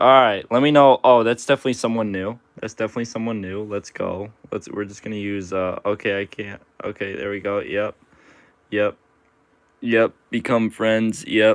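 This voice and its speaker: Over a quiet background, a man speaks at a moderate pace with fairly even intonation, and the sound is dry with no echo. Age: 20s. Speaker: gaming livestreamer. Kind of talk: casual live stream chat. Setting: live stream. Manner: casual, filler-heavy. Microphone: phone near.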